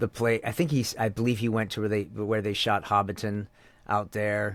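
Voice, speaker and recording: With an American accent, a man speaks in a fairly low pitch and fairly even intonation on a very clean recording with a silent background. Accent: Canadian accent, reduced toward American. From Canada. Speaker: voice actor. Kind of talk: interview. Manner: halting, many repetitions and fillers.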